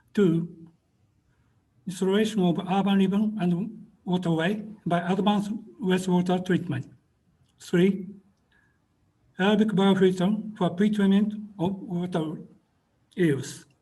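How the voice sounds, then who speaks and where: Speaking in a Japanese accent, a man with a high-pitched yet dark, mellow voice moves at a fairly slow pace with long, frequent pauses and fairly even intonation, and audible room echo surrounds him. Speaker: webinar presenter, water engineer. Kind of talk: presentation. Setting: video call. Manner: halting, hesitant.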